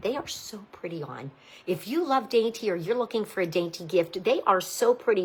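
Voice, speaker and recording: A woman with an American accent talks at medium pitch with lively intonation. Her fairly quick speech sits over noticeable background noise. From Pittsburgh, Pennsylvania. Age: 60s. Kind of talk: live sales presentation. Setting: live video stream. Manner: animated.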